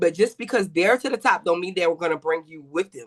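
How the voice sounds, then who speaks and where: A woman speaks in a confident tone at a medium pitch. The sound is dry and close with no echo, over a quiet background. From New York. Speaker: rapper. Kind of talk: casual podcast interview. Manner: confident, loud.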